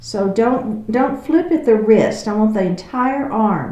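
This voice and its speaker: Speaking very slowly in a calm tone, a woman with a Texas accent and a medium pitch is heard with audible room echo. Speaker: yoga instructor. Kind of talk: guided exercise class. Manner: calm, encouraging.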